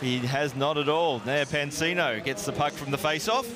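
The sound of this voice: A man's fairly high voice at a moderate pace, with ordinary pitch variation and clear background noise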